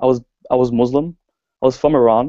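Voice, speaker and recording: With an Australian accent, a man speaks at medium pitch in a dark, mellow tone, his intonation monotone and flat, in a dry, close sound with no echo. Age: young. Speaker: network marketer. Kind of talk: personal story presentation.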